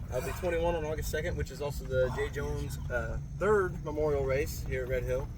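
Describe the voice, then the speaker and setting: A man with an American accent speaks at a fairly quick pace. Audible room echo and noticeable background noise fill the recording. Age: 20s. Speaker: amateur race car driver. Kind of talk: casual chat. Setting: outdoors.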